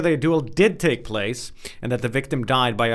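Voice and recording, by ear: A natural voice, reading aloud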